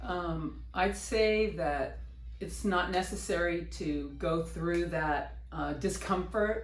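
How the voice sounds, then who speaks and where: Audible room echo follows a woman speaking at a very slow pace. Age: 60s. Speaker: patient. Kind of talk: testimony. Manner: halting.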